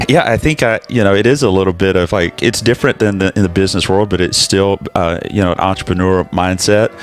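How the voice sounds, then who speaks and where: In an American accent, a man rattles along at a very fast pace with hardly any pauses, his fairly low voice showing ordinary pitch variation and very even loudness over background music. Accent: Southern US, fading. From US South, Alabama. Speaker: pastor. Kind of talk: casual interview chat.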